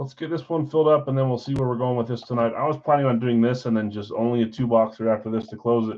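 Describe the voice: A man with an American accent talks at a very fast pace with hardly any pauses. His intonation stays fairly even. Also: medium pitch for a man.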